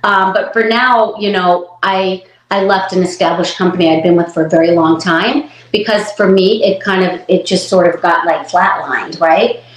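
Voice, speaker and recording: Over noticeable background noise, a woman with a medium pitch talks at a moderate pace with fairly even intonation. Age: 60s. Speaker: hairstylist. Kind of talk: interview.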